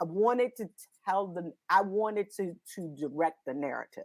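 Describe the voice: Her pitch fairly low, a woman speaks at a moderate pace with lively intonation.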